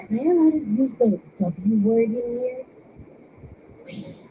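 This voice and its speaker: Over noticeable background noise, a woman speaks with a fairly high pitch and lively intonation. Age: 30s. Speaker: amateur comedian. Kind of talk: stand-up.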